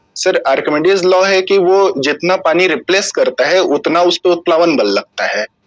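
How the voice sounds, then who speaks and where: Recorded dry and close with no echo, a high-pitched man talks with hardly any pauses, fairly even intonation and very even loudness. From Chhattisgarh, India (Raigarh district). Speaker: civil services interview candidate. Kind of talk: job interview. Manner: formal, hesitant with fillers.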